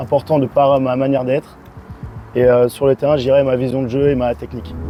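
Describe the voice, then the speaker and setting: A man at a very fast pace with music in the background. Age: 20s. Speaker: field hockey player. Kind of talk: pre-game interview. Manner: frequent filler hesitations.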